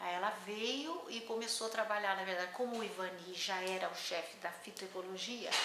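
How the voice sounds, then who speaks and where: Speaking at a moderate pace with ordinary pitch variation, a woman is heard amid audible room echo and noticeable background noise. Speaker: botanist, scientific researcher. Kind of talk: interview, oral history. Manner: halting, many fillers.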